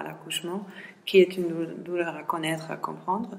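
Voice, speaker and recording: A woman's fairly low-pitched voice with fairly even intonation, over light background noise. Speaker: seminar organizer. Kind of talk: seminar introduction. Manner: halting. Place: classroom. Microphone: camera far.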